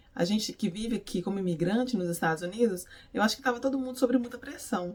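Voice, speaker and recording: A somewhat breathy woman's voice, fairly high in pitch, with ordinary pitch variation. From Brazil, Minas Gerais. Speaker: beautician and faith vlogger. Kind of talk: devotional vlog talk. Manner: animated, energetic.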